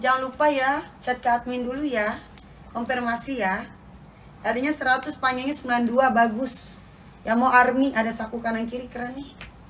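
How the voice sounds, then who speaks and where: A woman with a high pitch speaks at a moderate pace in a monotone, flat intonation over light background noise. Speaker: online clothing seller. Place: shop. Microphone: phone near.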